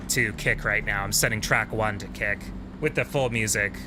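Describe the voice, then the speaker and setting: The speaker is a man. His tone comes across bright and sharp. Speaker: video game streamer. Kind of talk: casual live stream chat. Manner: soft-spoken at times.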